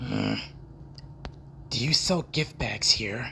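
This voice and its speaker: Someone puts on a character voice against clear background noise. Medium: voice reel. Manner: cold, serious, commanding.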